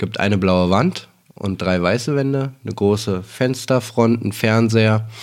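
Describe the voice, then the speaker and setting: Over noticeable background noise, a man with a fairly low pitch speaks at a very slow pace with ordinary pitch variation. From Berlin. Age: 40s. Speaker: dubbing director. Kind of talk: casual chat. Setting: home living room.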